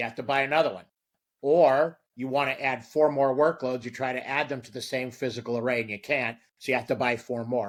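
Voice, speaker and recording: A man with an ordinary speaking voice at a medium pitch speaks with big swings in loudness and fairly even intonation, recorded very cleanly against a silent background. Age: 60s. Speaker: storage company marketing executive. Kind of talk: interview.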